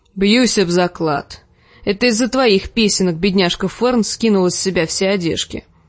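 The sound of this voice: The pitch shifts in an ordinary way. The reading voice is unforced.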